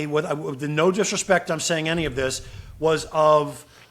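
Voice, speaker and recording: A fairly high-pitched man with an American accent. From Brooklyn, New York. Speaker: actor and voiceover artist. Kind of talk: casual interview answer, conversational.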